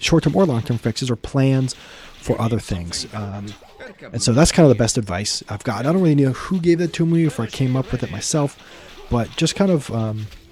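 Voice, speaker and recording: Noticeable background noise behind speech at a fairly quick pace. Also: man, medium pitch for a man. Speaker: gaming YouTuber. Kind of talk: casual Q&A chat. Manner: casual, many fillers; spontaneous, unscripted.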